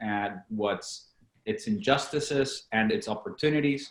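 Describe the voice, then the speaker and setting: A man with a Latin American accent speaks at a moderate pace. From Venezuela. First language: Spanish. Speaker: company founder and CEO. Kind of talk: podcast interview.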